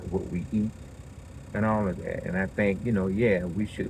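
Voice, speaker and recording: A man mumbles in a very deep, low voice with ordinary pitch variation. There is audible echo in the room. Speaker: podcaster. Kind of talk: casual monologue. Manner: halting; mumbling.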